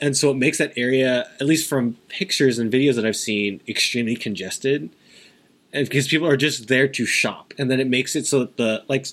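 The man's pitch varies in an ordinary way while he talks fairly quickly. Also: medium pitch for a man. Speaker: podcast co-host. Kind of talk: casual chat.

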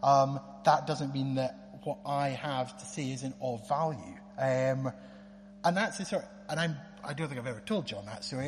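With a northeast Scottish accent, a man speaks at a moderate pace amid audible room echo. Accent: Scottish (north-east). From Scotland, Aberdeen. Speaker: lawyer. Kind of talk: testimony. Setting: church.

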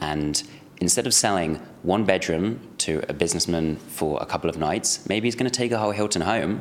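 A fairly quick pace in a London accent, with ordinary pitch variation. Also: man, very deep, low pitch for a man. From London, England. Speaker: startup CEO. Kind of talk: interview.

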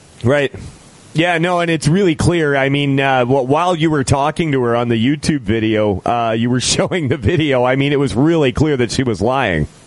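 Over noticeable background noise, a man with a fairly high pitch speaks at a moderate pace, with very even loudness and ordinary pitch variation. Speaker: radio host. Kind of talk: casual talk radio show with call-ins.

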